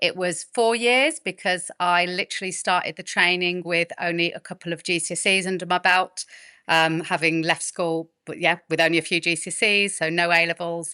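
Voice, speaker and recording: A woman with a Birmingham accent speaks at a moderate pace with hardly any pauses and fairly even intonation. The sound is dry and close with no echo, over a quiet background. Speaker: midwife and fertility specialist. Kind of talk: podcast interview.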